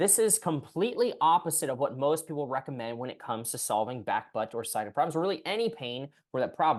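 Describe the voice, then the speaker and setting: A man's lively intonation comes through against a quiet background. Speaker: physical therapist. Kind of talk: tutorial. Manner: fast; animated.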